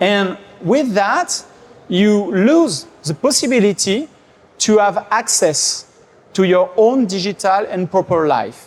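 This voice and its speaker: In a French accent, the speaker talks at a very slow pace with lively intonation. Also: man, high pitch for a man. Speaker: tech company executive and conference speaker. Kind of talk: conference talk. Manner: hesitant, many fillers.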